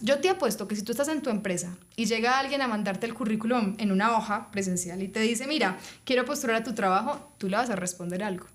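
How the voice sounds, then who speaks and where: Fairly high-pitched and somewhat breathy, a woman with a Colombian accent talks at a fairly quick pace with ordinary pitch variation. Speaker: HR and people specialist. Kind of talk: interview conversation.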